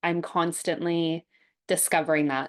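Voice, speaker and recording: A woman speaks with a Canadian accent at a fairly low pitch. The background is quiet. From Canada. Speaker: somatic therapy trainer. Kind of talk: interview.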